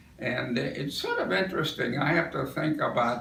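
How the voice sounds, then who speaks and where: Noticeable background noise and audible room echo are in the clip. The man talking has an American accent. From US Northeast. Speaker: war veteran. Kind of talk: oral history interview. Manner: halting.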